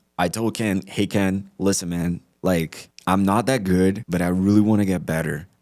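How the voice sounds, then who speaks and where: Very deep and low in pitch, a man speaks at a moderate pace with ordinary pitch variation on a very clean recording with a silent background. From Brazil. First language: Portuguese. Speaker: sales executive. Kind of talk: interview. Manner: casual, filler-heavy; animated.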